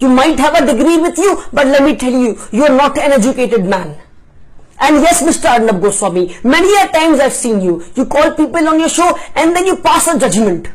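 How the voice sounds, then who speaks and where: Someone shouts at a fairly quick pace. Noticeable background noise runs underneath. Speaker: political commentary vlogger. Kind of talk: opinion rant. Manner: shouting; animated.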